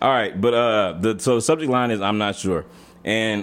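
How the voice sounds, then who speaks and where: A man with an American accent, fairly quick pace and ordinary pitch variation. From Texas. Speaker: podcast host. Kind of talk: casual chat. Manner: animated.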